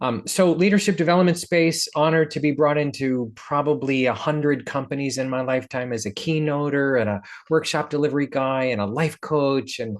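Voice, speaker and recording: A man with a plain, everyday voice, fairly high in pitch, at a moderate pace with ordinary pitch variation, over a quiet background. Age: 60s. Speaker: leadership coach and keynote speaker. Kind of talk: podcast interview.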